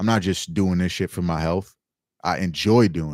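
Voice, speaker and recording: A man with a New York accent speaks fairly quickly in a passionate tone, on a very clean recording with a silent background. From New York City (Staten Island, Bronx). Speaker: livestreamer, mushroom grower. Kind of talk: casual livestream chat. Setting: livestream. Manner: loud.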